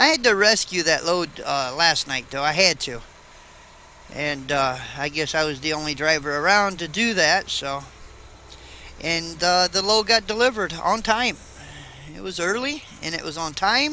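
A man at a moderate pace with lively intonation and long, frequent pauses, in a dry sound with no echo and light background noise. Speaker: truck driver vlogger. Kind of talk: casual vlog chat. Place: car. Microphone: camera far.

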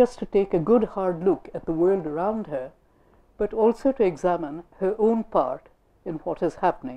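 Someone reads in an unforced reading voice.

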